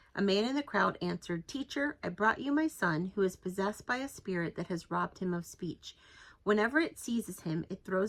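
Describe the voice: The speech is plain reading aloud with lively intonation.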